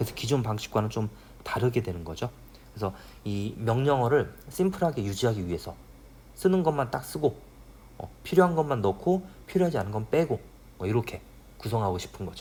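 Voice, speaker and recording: Speaking at a fairly quick pace with long, frequent pauses, a man with medium pitch and a dark, mellow, somewhat breathy tone swings his pitch very widely. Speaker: university professor. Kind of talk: lecture. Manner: fast.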